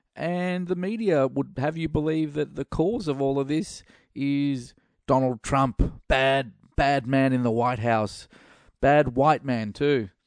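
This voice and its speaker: A very slow man with an Australian accent, fairly high in pitch, with ordinary pitch variation, over a quiet background. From Australia, Melbourne. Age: middle-aged. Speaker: podcast host. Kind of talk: opinion monologue. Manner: halting, many fillers.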